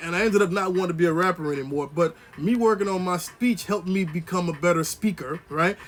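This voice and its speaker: A man talks in a high voice at a very fast pace, with hardly any pauses and ordinary pitch variation. Noticeable background noise runs underneath. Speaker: motivational vlogger. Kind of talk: motivational monologue. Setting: indoors, on camera. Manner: casual, conversational.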